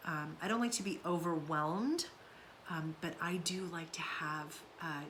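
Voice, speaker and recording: The delivery is fairly slow. Audible room echo and noticeable background noise are present. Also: woman. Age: 50s. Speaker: somatics content creator and author. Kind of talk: casual monologue vlog. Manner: hesitant, many fillers.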